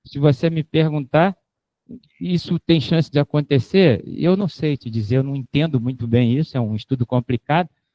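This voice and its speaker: Using ordinary pitch variation, a man with a fairly high voice speaks at a moderate pace. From Rio de Janeiro, Brazil. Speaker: professor. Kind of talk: lecture with Q&A. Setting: lecture hall with audience, filmed and streamed. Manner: casual, joking.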